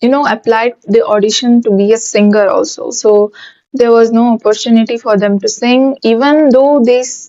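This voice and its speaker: Her tone is dark and mellow, and her pitch is fairly high for a woman. The woman keeps a moderate pace and fairly even intonation. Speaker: YouTuber. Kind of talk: casual vlog storytelling. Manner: stuttering at times.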